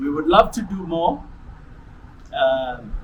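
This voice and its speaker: A man speaking at a very slow pace, with noticeable background noise and audible room echo. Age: 80s+. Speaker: retired pastor and charity founder. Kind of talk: interview testimony. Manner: halting.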